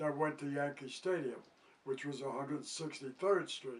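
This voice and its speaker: This man talks in a monotone, flat intonation with a New York accent. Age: 80s+. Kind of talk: interview answer.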